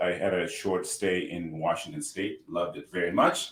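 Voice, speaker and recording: A man with a Zimbabwean accent. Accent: Zimbabwean, noticeable. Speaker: healthcare tech entrepreneur. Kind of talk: podcast interview. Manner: halting, repeats words.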